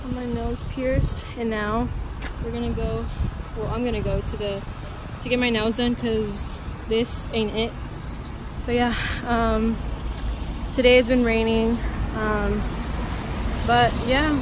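A woman talks at a fairly slow pace with long, frequent pauses, the sound dry with no echo and noticeable background noise behind her. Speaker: student abroad vlogger. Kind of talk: casual vlog chat. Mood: upbeat, chatty. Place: street. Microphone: phone near.

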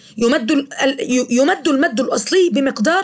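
In a high voice with very wide pitch swings, a woman speaks at a fairly slow pace. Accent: Egyptian. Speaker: teacher. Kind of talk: lecture.

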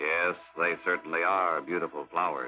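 Putting on a character voice, a man speaks gruffly at a very deep, low pitch and a moderate pace over faint background music. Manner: feigned friendliness.

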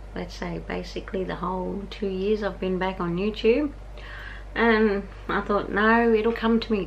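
A woman speaks very slowly in an Australian accent. Light background noise can be heard. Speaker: vlogger. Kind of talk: casual vlog talk to camera. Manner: chatty, informal. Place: home room. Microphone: phone near.

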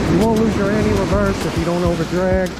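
Music plays in the background. The sound is dry with no echo. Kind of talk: casual fishing commentary. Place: beach. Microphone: phone near.

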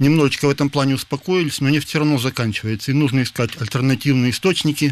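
Fairly high in pitch, a man talks at a very fast pace with fairly even intonation. The sound is dry, with no echo. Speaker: physics professor. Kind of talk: interview. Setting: studio. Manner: halting. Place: studio.

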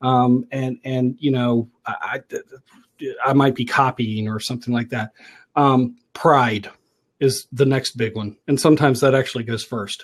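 Over a quiet background, a man talks at a moderate pace in a monotone, flat intonation. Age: 40s. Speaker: online talk show host and business coach. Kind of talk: casual live-stream talk. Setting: live video stream with headphones and microphone. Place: home room. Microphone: earbuds.

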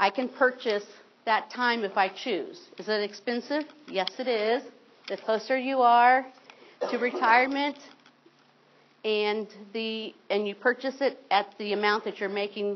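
A woman speaks at a fairly slow pace with a fairly high pitch and ordinary pitch variation. Her pauses are long and frequent. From Ohio, rural farm. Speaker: state retirement system representative. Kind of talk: informational seminar presentation.

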